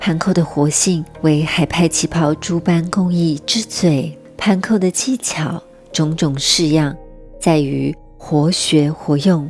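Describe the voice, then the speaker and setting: A woman with a very deep, low pitch speaks at a very slow pace, with very even loudness and fairly even intonation. Music plays in the background. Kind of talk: documentary narration.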